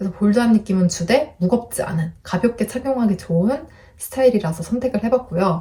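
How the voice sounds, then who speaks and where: Soft-spoken and lively in intonation, a woman talks at a fairly quick pace in a medium pitch. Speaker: lifestyle YouTuber. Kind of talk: product review vlog.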